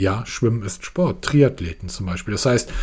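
Moderately paced speech with lively intonation comes through noticeable background noise. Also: man. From northern Germany, Hamburg. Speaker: tech podcast host. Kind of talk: casual chat.

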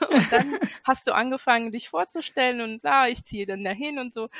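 A woman speaks in a high voice with a bright, sharp tone. Her intonation is lively. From Göttingen, Lower Saxony, Germany. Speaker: hobby sewist, pattern tester. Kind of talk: casual chat. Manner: halting, many fillers.

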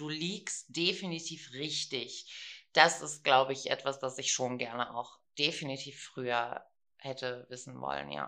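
A woman's very deep, low voice with vocal fry, a bright, sharp tone, big swings in loudness and a fairly slow pace. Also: ordinary pitch variation. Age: 40s. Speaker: podcast co-host. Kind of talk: casual chat.

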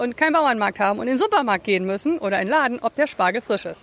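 A woman speaks in a high pitch while noticeable background noise runs underneath. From partly USA, German-American. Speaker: podcast co-host. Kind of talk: casual chat.

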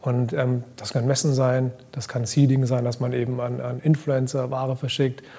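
A man's voice at medium pitch. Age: 30s. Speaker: fashion brand founder. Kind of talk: interview. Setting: live event recording.

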